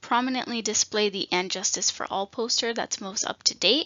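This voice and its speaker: Her fairly high voice sounds shaky. The woman keeps fairly even intonation at a moderate pace. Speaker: state nutrition program trainer. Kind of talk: training presentation. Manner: shaky voice.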